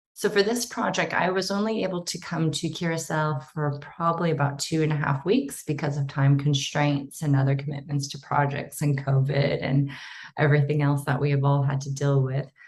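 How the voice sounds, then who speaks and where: With an American accent and a somewhat breathy voice, the speaker moves at a fairly quick pace with hardly any pauses and ordinary pitch variation, and room echo is audible. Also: woman, very deep, low pitch for a woman. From United States. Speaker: archaeologist. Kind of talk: conference presentation. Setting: online symposium.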